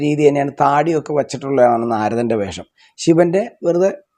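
A man's voice with a dark, mellow tone and lively intonation. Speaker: traditional temple ritual artist. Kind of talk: interview monologue.

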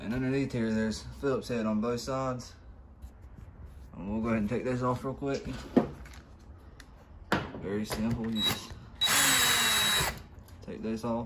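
Against faint background noise, a man at a medium pitch speaks fairly slowly with fairly even intonation and long, frequent pauses.

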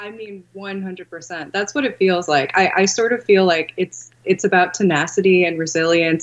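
A woman with an American accent, fairly low pitch, ordinary pitch variation and a moderate pace, over noticeable background noise. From California. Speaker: film director. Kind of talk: casual interview. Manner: laughs often. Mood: thoughtful, relaxed. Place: home room. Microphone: webcam.

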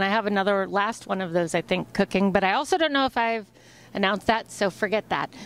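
The sound is dry, with no echo. A woman talks at a very fast pace. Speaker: interviewee. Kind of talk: interview answer. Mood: playful, chatty. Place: hall. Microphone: handheld.

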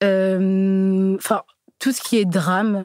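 This woman's pitch is medium. Her sound is dry and close, without any echo. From Burgundy, France (Joigny). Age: 20s. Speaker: dating show participant. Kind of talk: interview. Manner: hesitant.

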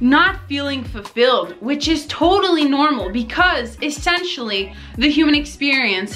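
Faint music plays behind a woman who speaks at a fairly slow pace and a high pitch. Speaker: vlogger. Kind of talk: casual motivational vlog chat.

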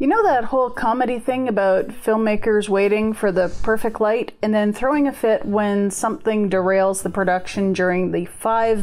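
Her pace is moderate. This woman's intonation is fairly even. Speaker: sewing vlogger. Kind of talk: casual vlog chat. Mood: wry, humorous. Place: home room.

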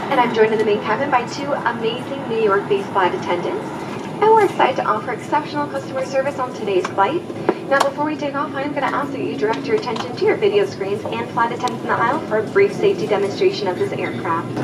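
A woman talking very fast over loud background noise. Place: plane. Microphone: pa.

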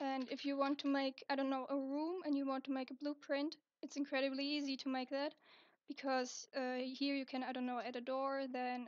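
A woman speaks in a high pitch with monotone, flat intonation, and the sound is dry and close with no echo. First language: not English. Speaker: digital art tutorial maker. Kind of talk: software tutorial narration. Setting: low-quality home microphone. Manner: casual, hesitant.

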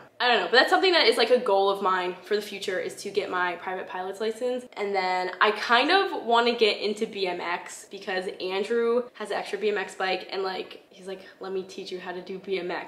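A woman with an American accent speaks at a moderate pace, barely pausing. Her loudness swings widely, and room echo is audible. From upstate New York. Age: 20s. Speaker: YouTuber. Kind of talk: casual Q&A vlog. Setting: home recording. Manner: casual, filler-heavy (like). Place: home room.

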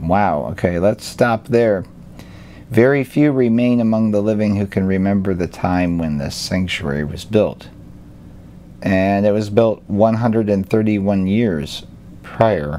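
With a fairly low pitch, a man speaks at a very slow pace amid noticeable background noise. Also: ordinary pitch variation. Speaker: YouTube alternative-history commentator. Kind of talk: reading aloud with commentary. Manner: casual, with frequent hesitations.

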